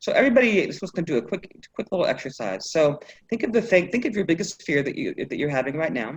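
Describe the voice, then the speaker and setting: A woman speaks at a very fast pace with a medium pitch and very wide pitch swings. Vocal fry runs through her voice. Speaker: life coach. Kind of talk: workshop coaching session.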